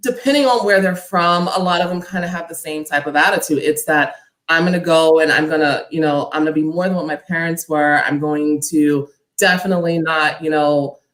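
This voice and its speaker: A woman speaks at a fairly quick pace in a New York accent. Her pitch is fairly low, with ordinary variation. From Harlem, New York City. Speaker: panelist. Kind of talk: casual chat.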